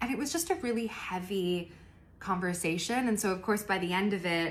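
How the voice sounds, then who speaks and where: A woman with an American accent speaks at medium pitch, with audible room echo. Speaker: lifestyle vlogger. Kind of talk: casual vlog chat. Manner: chatty, conversational.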